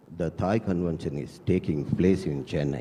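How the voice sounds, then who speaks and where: A man with a Tamil accent speaks with ordinary pitch variation against noticeable background noise. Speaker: travel agency director. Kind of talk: prepared speech read aloud. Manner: reading from a script.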